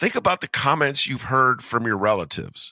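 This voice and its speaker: A man's animated voice at medium pitch, bright and sharp in tone with vocal fry, dry and close with no echo, on a very clean recording with a silent background. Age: 60s. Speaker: podcast host. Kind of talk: casual political chat.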